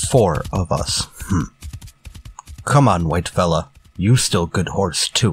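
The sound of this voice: Faint music plays behind a man doing a put-on character voice, low-pitched with a husky, rough edge, who speaks at a slow pace with lively intonation.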